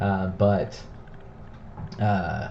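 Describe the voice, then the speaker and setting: A man with an American accent, fairly low pitch and monotone, flat intonation, with audible room echo and noticeable background noise. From Texas, Dallas-Fort Worth area. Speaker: card breaker streamer. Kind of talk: live stream card break.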